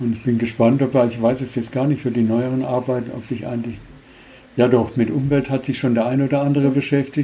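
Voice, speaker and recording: With a dark, mellow tone at medium pitch, a man speaks in a monotone with flat intonation. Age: 70s. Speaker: former travel scholarship participant. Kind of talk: interview.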